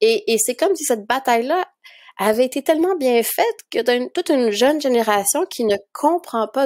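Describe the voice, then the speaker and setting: On a very clean recording with a silent background, a woman with a Quebec accent talks at a moderate pace with lively intonation. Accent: Québécois French. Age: 30s. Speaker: documentary filmmaker. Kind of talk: interview.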